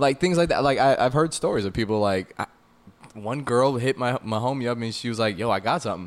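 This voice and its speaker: A very fast-talking man with an American accent and a medium-pitched voice. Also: ordinary pitch variation. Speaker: podcast co-host and producer. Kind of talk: casual chat. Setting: studio.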